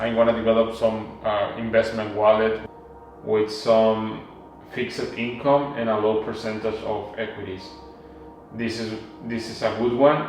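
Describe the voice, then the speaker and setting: Spoken in a Mexican accent at a fairly slow pace, the monotone, flat delivery carries audible room echo and noticeable background noise. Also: man, medium pitch for a man. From Mexico. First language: Spanish. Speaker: vlogger. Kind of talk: personal vlog monologue. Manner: halting, with fillers and restarts.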